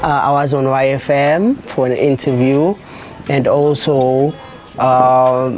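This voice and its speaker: A woman with a South African accent speaks at a very slow pace in a very deep, low voice, her loudness very even and her intonation fairly even, over noticeable background noise. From South Africa, Eldorado Park. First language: isiZulu. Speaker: musician. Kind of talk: interview. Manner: halting.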